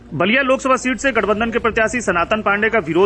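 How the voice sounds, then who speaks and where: Noticeable background noise runs under this recording. A man speaks at a high pitch and a moderate pace. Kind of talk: news report narration.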